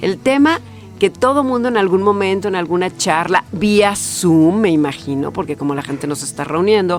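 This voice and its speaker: Music plays in the background as a woman speaks in a fairly low voice. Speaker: podcast host; announcer. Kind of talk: podcast conversation. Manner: casual, chatty.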